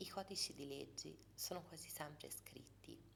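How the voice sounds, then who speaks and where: The speaker is soft-spoken, with vocal fry and a fairly slow pace. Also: woman. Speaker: ASMR creator. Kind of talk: ASMR book reading.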